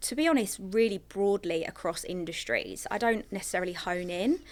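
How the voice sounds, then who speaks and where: Speaking with an English accent, a woman uses a medium pitch and ordinary pitch variation. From England. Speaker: recruiter. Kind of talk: podcast interview.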